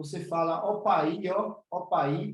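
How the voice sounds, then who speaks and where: A man speaks with a northeastern Brazilian accent and ordinary pitch variation. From Northeast Brazil. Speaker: spiritual teacher. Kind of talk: online class.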